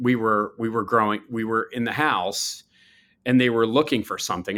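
Speaking with an American accent, a man has a bright, sharp tone at a medium pitch and a moderate pace in a very clean recording with a silent background. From US, Baltimore. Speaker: chemistry professor. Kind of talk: interview.

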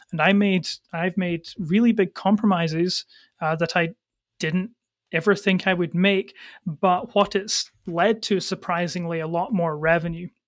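In a Scottish accent, a man speaks at a moderate pace with a high pitch and fairly even intonation. The recording is very clean, dry and close, with no echo and a silent background. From Scotland. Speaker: agency founder and CEO. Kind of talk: interview.

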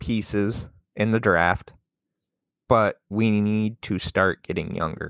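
Recorded very cleanly with a silent background and a dry, close sound with no echo, a man speaks in an animated tone at a fairly low pitch. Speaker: podcast host, sports fan. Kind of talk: angry sports rant, profane and fiery, delivered solo. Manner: animated, indignant, sarcastic, swearing and venting.

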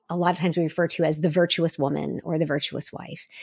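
A woman speaks at a fairly quick pace with a fairly low pitch and vocal fry. The recording is very clean and silent behind her, with a dry, close sound and no echo. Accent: American. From South Korea (American expatriate community, Seoul). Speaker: motivational speaker and coach. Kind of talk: interview.

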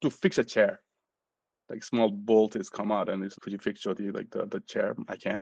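A man with a Nepali accent and a fairly low pitch, in a dry, close sound with no echo. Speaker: physician. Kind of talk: interview.

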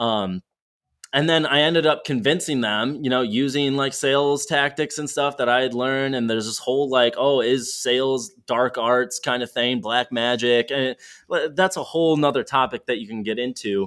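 A man talks in a normal speaking voice at medium pitch. His pace is moderate, with ordinary pitch variation. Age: 20s. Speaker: sales executive. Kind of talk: casual interview chat.

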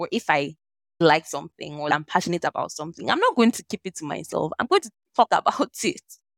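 In a Nigerian accent, a woman with a fairly low pitch speaks at a fairly quick pace, her intonation lively and tone animated, the sound dry and close with no echo. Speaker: lawyer and social impact entrepreneur. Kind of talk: interview conversation.

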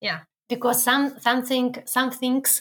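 High pitch from a woman, at a fairly slow pace. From Belarus. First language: Belarusian or Russian. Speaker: guest, works with internationals. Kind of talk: casual interview. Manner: halting.

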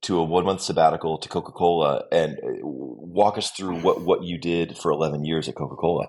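Against a quiet background, a man with a very deep, low pitch and vocal fry speaks at a moderate pace. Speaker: podcast host. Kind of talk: casual interview chat.

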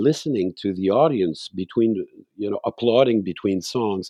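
A man with a Quebec accent speaks at a medium pitch in a dark, mellow tone with lively intonation. The sound is dry and close with no echo, over a quiet background. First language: French. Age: 60s. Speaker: singer-songwriter. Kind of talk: interview.

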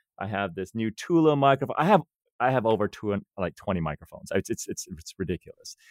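Speaking at a very fast pace with an American accent, a man at medium pitch swings very widely up and down, recorded with a dry, close sound and no echo. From US West Coast, Silicon Valley. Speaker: life and money coach, podcaster. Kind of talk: interview conversation. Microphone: new studio microphone.

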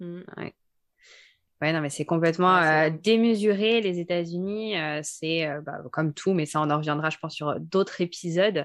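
A normal speaking voice moves at a moderate pace with ordinary pitch variation over a quiet background. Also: woman, fairly low pitch for a woman. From Savoie, French Alps near Chambéry. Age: 20s. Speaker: podcast co-host. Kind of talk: casual chat. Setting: at home.

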